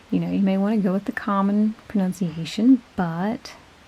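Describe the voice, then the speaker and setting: With an American accent, a woman of medium pitch speaks at a moderate pace with ordinary pitch variation over noticeable background noise. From US South. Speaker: YouTube pagan channel co-host. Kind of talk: casual vlog talk.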